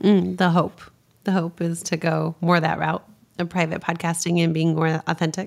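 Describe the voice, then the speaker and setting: A woman with a fairly low pitch speaks at a moderate pace in a monotone, flat intonation. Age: 40s. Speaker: podcast host and leadership coach. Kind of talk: casual interview.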